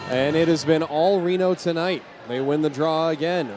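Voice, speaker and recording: A man with an American accent talks at a moderate pace in a fairly high pitch, with ordinary pitch variation. Background noise is noticeable. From Southern California. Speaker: hockey play-by-play announcer. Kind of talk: live sports commentary.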